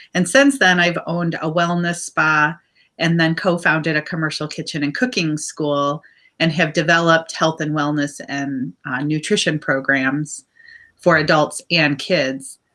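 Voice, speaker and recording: Heard on a very clean recording with a silent background, the bright, sharp voice goes at a fairly slow pace with fairly even intonation. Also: woman, very deep, low pitch for a woman. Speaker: business owner, cooking school founder. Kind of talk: interview. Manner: loud.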